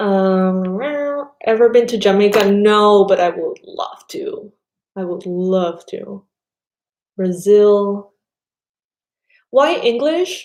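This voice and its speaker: A woman with a Spanish accent talks at a very slow pace, leaving long, frequent pauses. Her pitch is medium with ordinary variation, and her loudness swings a lot. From Panama. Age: 30s. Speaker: tarot reader. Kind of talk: casual chat. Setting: live stream.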